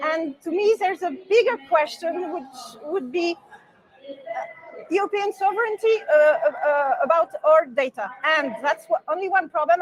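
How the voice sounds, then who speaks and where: Over crowd noise in the background, a woman with an extremely high pitch speaks at a moderate pace with ordinary pitch variation. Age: 60s. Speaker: party member. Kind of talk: interview. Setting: conference. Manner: halting.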